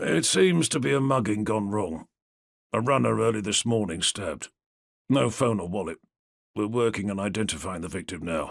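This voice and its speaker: A man puts on a gruff, raspy character voice with a weary tone, fairly low in pitch, lively in intonation and moderate in pace, in a very clean recording with a silent background. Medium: read story. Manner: gruff, weary.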